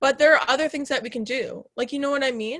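A woman with an American accent at a very fast pace, high-pitched with a bright, sharp tone. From Chicago suburbs, Illinois. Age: 20s. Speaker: college radio host. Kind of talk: casual chat. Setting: studio. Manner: talkative, fast.

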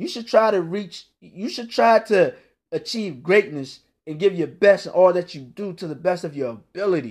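Against a quiet background, a man with an American accent talks at a moderate pace in a high voice, animated in tone, lively in intonation, and with big swings in loudness. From Northern Virginia, Washington DC area. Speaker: motivational podcaster. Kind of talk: motivational monologue.

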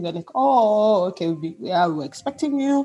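Against noticeable background noise, a woman with a Kenyan coastal accent talks at a fairly quick pace and a medium pitch, her intonation lively. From Kenya, Mombasa (coast). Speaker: musician. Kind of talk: casual interview.

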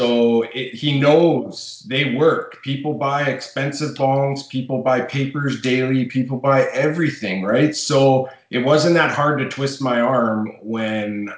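A man talks at a fairly slow pace with a Western Canadian accent. There is noticeable background noise. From Fort McMurray, Alberta, Canada. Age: 30s. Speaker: smoke shop owner. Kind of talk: casual chat.

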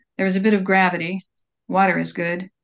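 A woman's medium-pitched, monotone voice with flat intonation, an American accent, and a quiet background. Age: 70s. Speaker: poet and magazine editor. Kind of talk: radio interview with poetry reading. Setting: radio studio.

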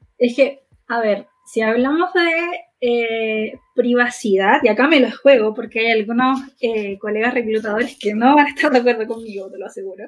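A woman with an ordinary speaking voice talks at a moderate pace in a fairly high pitch. Her pitch variation is ordinary, while her loudness swings widely. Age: 20s. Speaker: podcast co-host, HR social worker. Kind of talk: casual chat.

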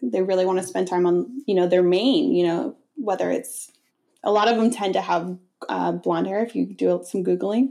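A woman with an American accent, medium pitch, ordinary pitch variation, a dark, mellow tone and vocal fry. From Connecticut, US. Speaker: fashion designer. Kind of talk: casual interview chat.

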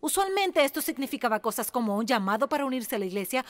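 A woman's fairly high-pitched voice. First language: English (speaking Spanish). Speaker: pastor's wife preaching. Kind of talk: sermon. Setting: church.

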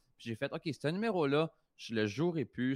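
A plain, everyday voice, a man's, sits fairly high in pitch with ordinary pitch variation, heard dry and close with no echo over a quiet background. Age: 30s. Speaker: comedian and prankster. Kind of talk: casual chat. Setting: video call.

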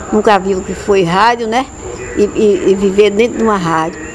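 Fairly even intonation and a moderate pace from a woman, with noticeable background noise behind her. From Bahia, Brazil (Ipirá). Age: 80s+. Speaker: retired radio station employee. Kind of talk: oral history interview. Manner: halting, repetitive.

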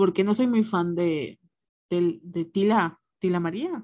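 A woman speaks with a somewhat breathy, dark, mellow tone. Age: 20s. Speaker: podcast co-host. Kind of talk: casual chat.

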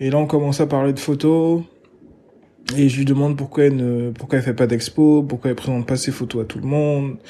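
A man with a dark, mellow tone at a fairly high pitch, fairly even intonation and long, frequent pauses. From Gabon (Libreville). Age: 20s. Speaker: artist agent and art enthusiast. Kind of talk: interview. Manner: hesitant, many fillers and repetitions.

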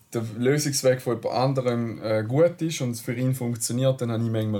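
Speaking at a fairly quick pace, a man with a medium pitch has a dark, mellow tone and ordinary pitch variation. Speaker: car podcast co-host. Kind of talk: casual chat.

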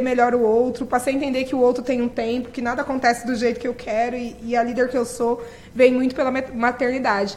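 Over noticeable background noise, a woman with a high pitch talks at a fairly quick pace. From Brazil, periphery. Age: 30s. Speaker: nonprofit director. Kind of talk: interview.

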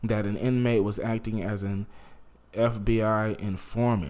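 The speaker is a man with a medium pitch. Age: 20s. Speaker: podcast host. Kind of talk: casual solo podcast monologue.

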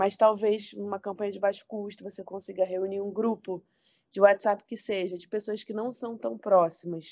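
In a flat monotone, a woman with a medium pitch speaks at a moderate pace while her loudness swings widely. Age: 20s. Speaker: political communications professional. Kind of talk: podcast interview.

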